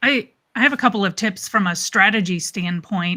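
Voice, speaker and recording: Her bright, sharp tone comes at a medium pitch for a woman, with fairly even intonation and a moderate pace. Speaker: marketing strategist. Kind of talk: casual panel discussion. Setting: live stream video call.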